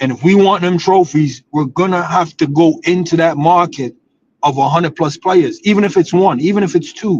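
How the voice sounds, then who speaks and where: A man speaks loud and at a high pitch, keeping a moderate pace and ordinary pitch variation. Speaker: football streamer. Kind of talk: casual chat. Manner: animated.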